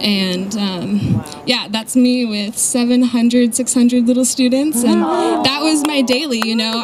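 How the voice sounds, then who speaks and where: Speaking at a high pitch with an American accent, a woman keeps ordinary pitch variation and a moderate pace. Noticeable background noise runs behind her. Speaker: charity volunteer. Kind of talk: presentation to an audience. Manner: soft-spoken. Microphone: too quiet, told to hold mic closer.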